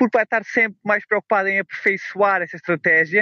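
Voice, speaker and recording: A man speaks in a high pitch. His pace is fairly quick. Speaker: trader and author. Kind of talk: casual interview. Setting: outdoors walking dog on beach.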